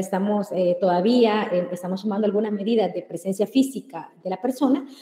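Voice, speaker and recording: Very fast speech with ordinary pitch variation amid noticeable background noise. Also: woman. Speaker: public information commissioner. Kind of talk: webinar presentation.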